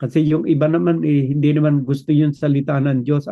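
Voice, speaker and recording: A man talks at a moderate pace in a plain, everyday voice. His pitch is fairly high and varies in an ordinary way. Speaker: preacher. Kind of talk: sermon.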